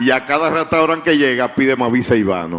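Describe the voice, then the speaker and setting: Moderately paced male speech with ordinary pitch variation. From Dominican Republic (Santiago). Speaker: writer. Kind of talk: panel discussion. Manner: halting.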